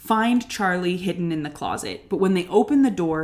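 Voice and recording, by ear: Someone reads a passage aloud. It is done in a natural voice.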